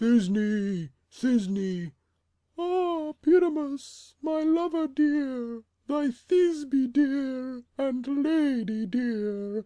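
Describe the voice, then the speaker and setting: A put-on character voice at a high pitch moves along at a very slow pace. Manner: melodramatic, theatrical.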